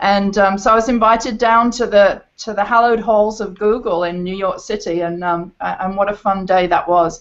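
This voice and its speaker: Speaking at a moderate pace with hardly any pauses, a woman with an English accent keeps a medium pitch and fairly even intonation. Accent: English-sounding. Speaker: performing arts teacher. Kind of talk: panel discussion on video call. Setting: video call.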